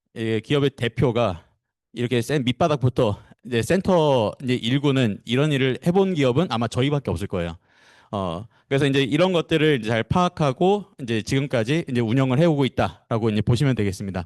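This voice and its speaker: Against a quiet background, a man speaks fairly quickly in a medium pitch with lively intonation. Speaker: corporate trainer. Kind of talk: lecture. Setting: seminar room with live online audience. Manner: fast; hesitant, many fillers.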